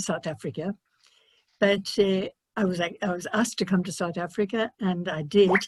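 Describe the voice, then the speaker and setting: A woman with a somewhat breathy, medium-pitched voice speaks at a fairly quick pace and with fairly even intonation, the sound dry and close with no echo over a quiet background. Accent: Irish. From Ireland. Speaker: missionary nun. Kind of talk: panel discussion. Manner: halting.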